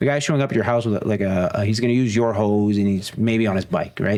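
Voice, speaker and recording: Speaking at a fairly quick pace, a man with a strong Greek accent keeps to a medium pitch. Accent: thick Greek. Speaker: professor. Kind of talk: casual chat.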